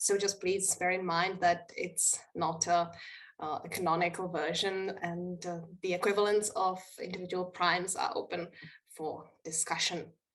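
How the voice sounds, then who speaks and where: A woman talks at a moderate pace and a medium pitch, her intonation monotone and flat. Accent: Czech. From Czech Republic. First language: Czech. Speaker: linguistics researcher. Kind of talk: conference presentation. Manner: halting, frequent filler 'uh'.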